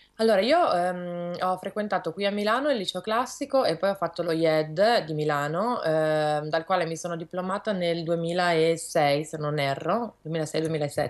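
A woman speaks at a fairly low pitch and a fairly slow pace, with hardly any pauses. Her pitch variation is ordinary, and the background is quiet. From Milan, northern Italy. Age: young. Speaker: illustrator; guest. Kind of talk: interview. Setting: video call from her studio. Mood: calm, thoughtful. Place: home room. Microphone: video call.

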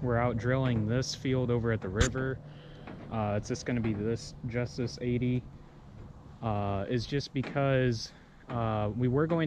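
A man at a fairly slow pace with long, frequent pauses and fairly even intonation, a dry sound with no echo and noticeable background noise. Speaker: farmer vlogger. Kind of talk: casual vlog chat. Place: farm machine. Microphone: phone near.

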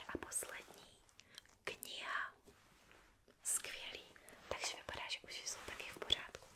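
Someone whispers at a fairly slow pace. The whisperer is a woman. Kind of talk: soft-spoken roleplay medical exam. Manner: soft close ASMR doctor voice.

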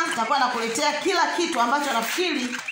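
A woman speaks in a raised, projected voice. Room echo and background noise are both noticeable. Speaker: poultry farmer vlogger. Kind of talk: casual vlog chat. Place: farm machine. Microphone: phone near.

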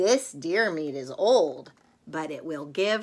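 With lively intonation, a woman speaks at a low pitch that carries a slightly husky edge.

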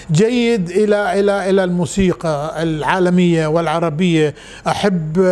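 A man's high-pitched voice at a very slow pace, with ordinary pitch variation. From Bahrain, Manama; Bahrain. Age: 70s. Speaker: scout leader and visual artist; interviewee. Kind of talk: interview. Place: home room. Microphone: lapel.

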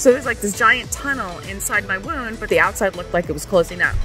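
A woman talks while clear music plays in the background. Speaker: personal storyteller. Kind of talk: casual vlog chat. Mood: candid, matter-of-fact. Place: street. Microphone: phone near.

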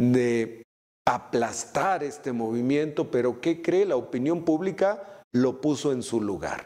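Against a quiet background, a man talks at a very slow pace with lively intonation. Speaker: news commentator. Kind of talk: commentary. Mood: critical, ironic. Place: studio. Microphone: lapel.

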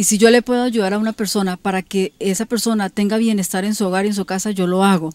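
The delivery is very fast and monotone, with flat intonation. A woman at medium pitch is heard in a dry sound with no echo. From Colombia. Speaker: local politician. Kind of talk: TV interview. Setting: her home. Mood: earnest, defending her innocence. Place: garden.

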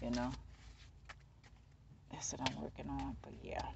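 A man speaks in a dry recording with no echo, with noticeable background noise behind him. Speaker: tarot reader. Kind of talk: casual reading chat. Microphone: phone near.

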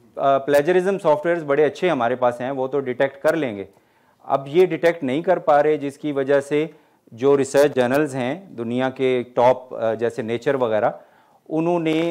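A man speaks at a fairly slow pace in a fairly high pitch with ordinary pitch variation. The background is quiet. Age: 50s. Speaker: college English professor giving a talk. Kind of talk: lecture with audience Q&A. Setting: hall with live audience. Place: hall.

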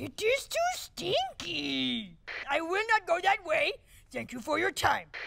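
In a cartoonish character voice, a woman speaks at an extremely high pitch and a fairly slow pace. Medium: puppet. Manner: earnest, formal speech without contractions.

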